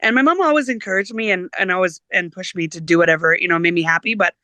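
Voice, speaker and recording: In a Canadian Prairie accent, a woman speaks at a fairly quick pace with a bright, sharp tone. The sound is dry and close, with no echo. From Saskatchewan, Canada. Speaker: singer-songwriter and teacher. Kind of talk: interview. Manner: hesitant, many fillers.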